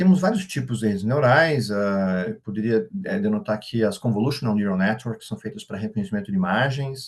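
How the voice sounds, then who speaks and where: A man's medium-pitched speech moves with ordinary pitch variation. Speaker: AI expert speaker. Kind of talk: workshop lecture. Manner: fast.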